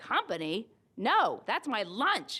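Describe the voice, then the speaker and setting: A woman uses a put-on character voice, high in pitch. Her voice makes very wide pitch swings. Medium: read story. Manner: blustering, boastful.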